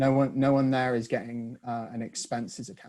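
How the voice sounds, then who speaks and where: In a northern English accent, a man speaks with a dark, mellow tone. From northern England. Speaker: author. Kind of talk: video call discussion. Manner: halting.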